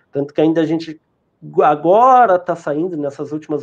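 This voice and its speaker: A man with an unremarkable speaking voice talks in a fairly high pitch with ordinary pitch variation. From southern Rio Grande do Sul, Brazil. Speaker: internet provider sales team manager. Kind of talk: live-stream interview.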